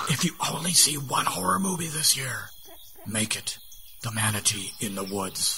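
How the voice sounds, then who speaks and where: A man whispers in a put-on character voice at a moderate pace over clear background noise. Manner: whispering.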